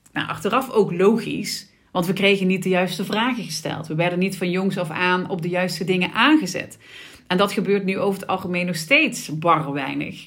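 Audible room echo surrounds a woman of medium pitch talking at a moderate pace. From Sittard, Limburg, Netherlands. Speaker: podcast host, business coach. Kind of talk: solo podcast monologue. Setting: office. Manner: casual, with frequent fillers.

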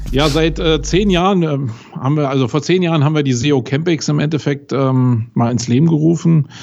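Speaking at a fairly quick pace, a man keeps his loudness very even. His pitch is fairly high with ordinary variation. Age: 40s. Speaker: SEO agency owner. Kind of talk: interview. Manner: hesitant fillers.

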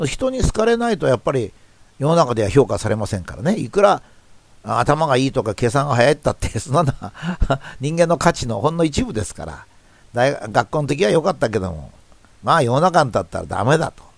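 At a fairly quick pace, a man with a fairly high voice shows very wide pitch swings and big swings in loudness. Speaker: professor and commentator. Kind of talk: reflective monologue talk.

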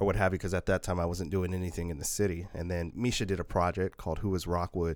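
A man with an American accent talks at a very fast pace with hardly any pauses, his pitch very deep and low. His intonation is flat and monotone, on a very clean recording with a silent background. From Northeast Portland, Oregon. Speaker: city council member. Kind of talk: casual chat.

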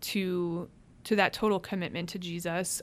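A woman with an American accent speaks at medium pitch and a moderate pace in a normal speaking voice, with fairly even intonation, on a very clean recording with a silent background. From Cleveland, Ohio. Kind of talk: interview about faith and vocation.

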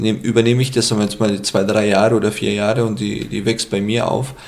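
A man speaks with a Middle Eastern accent at a moderate pace. His pitch is fairly low, and there is noticeable background noise. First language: Aramaic (speaking German). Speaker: hotel owner and former IT manager. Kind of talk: casual interview. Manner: halting, many fillers.

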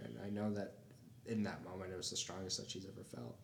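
A man with a fairly low pitch talks in a room with audible echo. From Toledo, Ohio, US. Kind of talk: casual interview chat.

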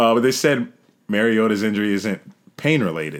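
A man speaks with an American accent at a fairly low pitch. His is an unremarkable speaking voice. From New York. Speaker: football podcast co-host. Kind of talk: casual chat.

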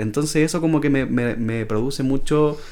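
This man has an unremarkable speaking voice, medium pitch with ordinary variation, and a moderate pace. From Chile, Antofagasta. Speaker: writer and podcast co-host. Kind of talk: casual chat.

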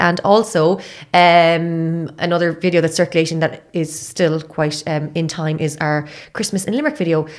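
This voice has an Irish accent. The pace is moderate. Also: woman. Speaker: podcast host. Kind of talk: casual chat. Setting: studio.

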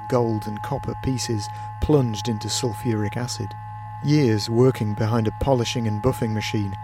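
The intonation stays fairly even as someone reads aloud in a natural voice.

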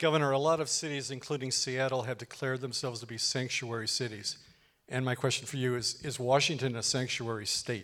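Here is a man with a normal speaking voice. He talks at a medium pitch with fairly even intonation. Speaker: public administration professor. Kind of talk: public interview. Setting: stage with audience.

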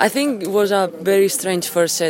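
Someone with a Spanish accent speaks at a moderate pace over noticeable background noise. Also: woman. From Spain. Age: 20s. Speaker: professional tennis player. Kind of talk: post-match interview.

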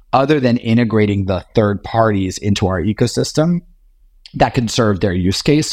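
This is a normal speaking voice. Its intonation is lively. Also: man. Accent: American. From US South, Richmond, Virginia. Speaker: tech company CEO. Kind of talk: interview.

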